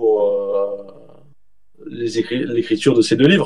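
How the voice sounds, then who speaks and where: Pitch varying in an ordinary way, a man talks very slowly. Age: 40s. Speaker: journalist and author. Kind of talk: interview.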